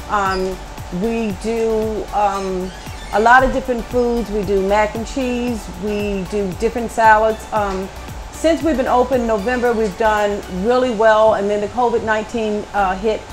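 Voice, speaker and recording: A woman at a fairly slow pace with fairly even intonation, clear music in the background. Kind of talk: interview answer. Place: cafe.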